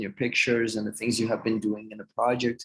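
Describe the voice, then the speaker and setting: A man speaks with a Portuguese accent. His pitch is medium. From southern Brazil, Rio Grande do Sul. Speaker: researcher. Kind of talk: video call Q&A. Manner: hesitant, many fillers.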